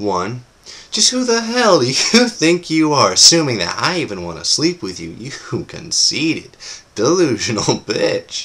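A man with vocal fry speaks in a playful tone at a moderate pace. His pitch swings very widely and his loudness shifts a lot. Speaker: actor performing audition monologue. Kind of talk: performed comedic monologue. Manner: animated, wry, conversational; playful, laughing, cocky swagger. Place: home room. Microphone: webcam.

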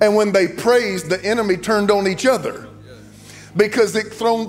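Over faint background music, a man with a high voice talks at a moderate pace with fairly even intonation. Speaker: preacher. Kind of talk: sermon. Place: church. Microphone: handheld.

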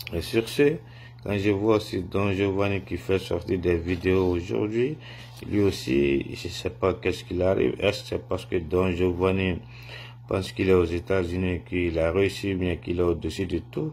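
Over light background noise, a man with a very deep, low pitch speaks at a moderate pace. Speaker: political commentator. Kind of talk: opinion vlog message. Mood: indignant, disappointed. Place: home room. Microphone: phone near.

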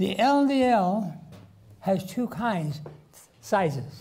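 A man's voice with a dark, mellow tone. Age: 80s+. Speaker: physician and health lecturer. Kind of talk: health lecture. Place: hall.

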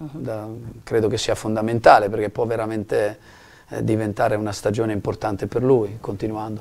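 A man speaks at a fairly low pitch and a moderate pace. His intonation is monotone and flat. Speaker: basketball coach. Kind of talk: studio interview. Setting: TV studio. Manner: calm and composed. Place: studio.

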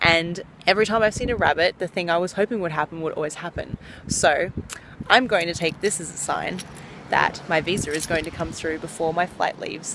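A woman talks fairly quickly at a fairly low pitch with ordinary pitch variation. The sound is dry with no echo, but noticeable background noise is present. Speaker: vlogger. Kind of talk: casual vlog chat. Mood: relaxed, reflective. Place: waterside. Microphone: phone near.

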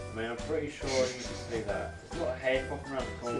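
Clear music sounds behind the voice. The speaker is a man. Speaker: vlogger. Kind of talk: casual vlog chat. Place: home room. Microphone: camera far.

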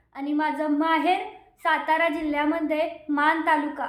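A woman speaks at an extremely high pitch. Room echo is audible around her. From Maharashtra, Satara district (Maan taluka). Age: 20s. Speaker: lifestyle vlogger. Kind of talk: casual Q&A vlog.

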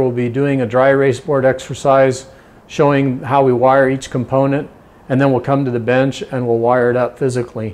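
A fairly quick-paced man's voice. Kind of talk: tutorial. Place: garage. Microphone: lapel.

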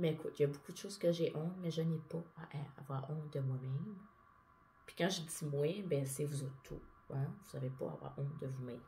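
A woman with a Quebec accent speaks at a fairly quick pace in a very deep, low pitch, with a dark, mellow tone and a somewhat breathy quality. Her intonation is fairly even, and light background noise is present. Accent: Québécois French. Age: 30s. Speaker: vlogger. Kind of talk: personal monologue vlog. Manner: casual. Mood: open, confessional, a bit emotional. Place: home room.

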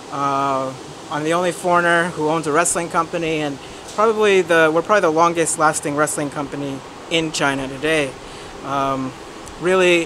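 A man with fairly even intonation keeps a moderate pace while noticeable background noise is present. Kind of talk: interview answer. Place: street.

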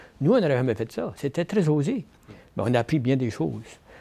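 A very fast-talking man, medium-pitched, with vocal fry and a dark, mellow tone. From Acadian New Brunswick, Canada. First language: French. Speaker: professor and author. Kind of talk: interview conversation. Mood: proud, reflective storytelling. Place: meeting room. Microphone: lapel.

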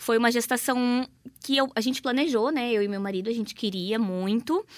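A woman with a normal speaking voice talks at a moderate pace in a fairly high pitch, her intonation lively. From Paraná, Brazil. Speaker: influencer and mother. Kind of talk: radio interview. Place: studio.

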